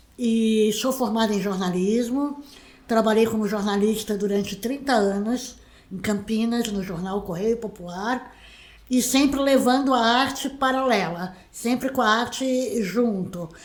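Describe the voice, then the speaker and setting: There is audible room echo as a woman speaks at a fairly slow pace. Her pitch is fairly high, with ordinary variation. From Brazil, Santos (São Paulo state). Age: 60s. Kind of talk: interview. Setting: her own home.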